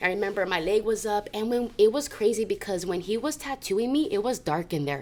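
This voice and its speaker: In an American accent, a woman speaks at a moderate pace in a plain, everyday voice, fairly high in pitch. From Southern California. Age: 30s. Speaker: recovering addict sharing her story. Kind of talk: testimony.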